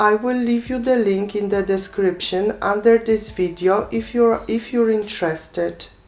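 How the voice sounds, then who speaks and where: Noticeable background noise sits behind a woman speaking at a moderate pace with hardly any pauses. Her medium pitch stays fairly even. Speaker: craft tutorial maker. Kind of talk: tutorial. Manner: calm, instructive.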